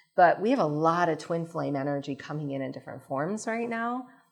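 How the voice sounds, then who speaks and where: Over music in the background, a woman with a very deep, low pitch talks at a fairly quick pace with lively intonation. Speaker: spiritual channeler. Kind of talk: live lecture with audience Q&A. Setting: stage with audience.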